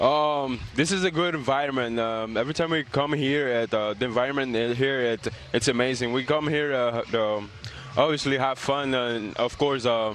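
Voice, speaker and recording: With music playing in the background, a man speaks in a Spanish accent. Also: medium pitch for a man, ordinary pitch variation, moderate pace, very even loudness. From Dominican Republic, raised in Montreal. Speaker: professional baseball player. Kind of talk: TV interview. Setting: remote from ballpark. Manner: halting, many fillers.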